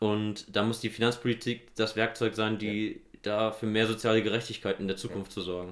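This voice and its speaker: Here a man talks at a fairly quick pace and a fairly low pitch. His intonation is monotone and flat. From Germany, Hesse (Nidderau, Main-Kinzig). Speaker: local politician and economist. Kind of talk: casual interview. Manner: halting, many fillers.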